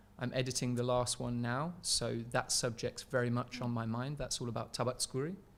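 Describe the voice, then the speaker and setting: A man speaks with an English accent and hardly any pauses. His intonation stays fairly even. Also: medium pitch for a man, fairly quick pace. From England. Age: 20s. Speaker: researcher and filmmaker. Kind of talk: podcast interview.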